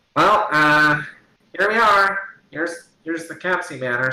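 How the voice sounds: A man puts on a character voice, pitched high for a man, speaking at a moderate pace with audible echo.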